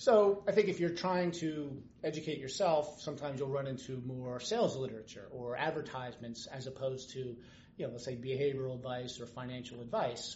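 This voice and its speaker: Audible room echo and noticeable background noise surround a man's voice. He speaks at a fairly quick pace, at medium pitch with ordinary pitch variation. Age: 50s. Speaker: financial planner. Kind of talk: casual interview. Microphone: background noise, laptop without noise canceling mic.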